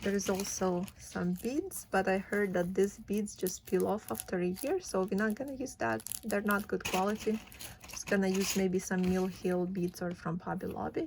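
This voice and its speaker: Delivered at a moderate pace with a non-native accent, the speech shows ordinary pitch variation. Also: woman, medium pitch for a woman. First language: not English. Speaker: cross stitch vlogger. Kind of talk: casual vlog, unboxing and craft talk. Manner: casual, with frequent fillers.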